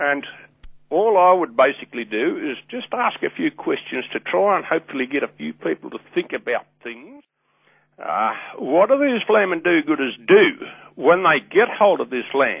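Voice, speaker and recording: With a strong Australian accent, a man talks at a moderate pace with big swings in loudness, the sound dry and close with no echo. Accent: broad Australian. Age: 60s. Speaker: caller. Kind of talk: radio call-in. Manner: animated.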